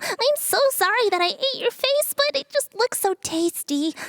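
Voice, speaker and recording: Put-on character voice from a woman, pitched extremely high, delivered at a moderate pace. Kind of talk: childlike, playful. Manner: cutesy, sweet.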